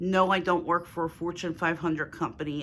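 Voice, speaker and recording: Speaking with a Philadelphia accent, a woman uses a fairly low pitch and fairly even intonation. The recording is very clean, with a silent background. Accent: Philadelphia accent, moderate. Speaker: lifestyle YouTuber. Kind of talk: casual Q&A vlog.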